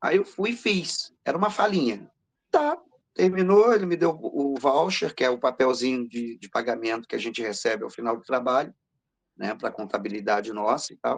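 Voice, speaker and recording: Swinging very widely in pitch, a man with a fairly high voice talks at a moderate pace. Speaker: voice actor. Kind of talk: interview.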